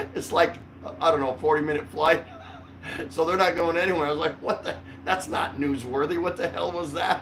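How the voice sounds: Speaking at a moderate pace with few pauses, a man has a fairly high pitch, a fairly bright tone and fairly even intonation.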